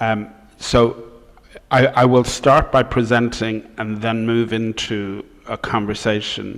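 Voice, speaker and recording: In an Irish accent, a man speaks at a very slow pace with a medium pitch and monotone, flat intonation. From Ireland. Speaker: professor. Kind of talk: lecture.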